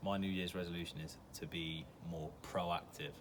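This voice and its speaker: A man with an English accent speaks at a moderate pace in a very deep, low, monotone voice with flat intonation. Room echo can be heard. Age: 20s. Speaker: aspiring actor. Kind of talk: interview answers. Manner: hesitant, with fillers.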